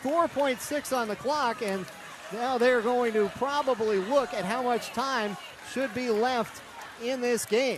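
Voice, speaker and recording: Fairly slow speech with ordinary pitch variation against noticeable background noise. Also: man, extremely high pitch for a man. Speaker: sports radio play-by-play announcer. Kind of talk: women's college basketball radio play-by-play, close late-game.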